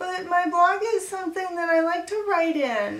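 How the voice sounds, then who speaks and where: At a moderate pace, a woman uses a put-on character voice at an extremely high pitch. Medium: comedy sketch. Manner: naive, childish, mangles grammar.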